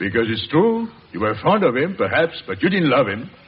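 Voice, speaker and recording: A man's put-on character voice, gruff and fairly high, moving fairly quickly with very wide pitch swings. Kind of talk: 1940s radio acting. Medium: old radio play. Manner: gruff, blustering.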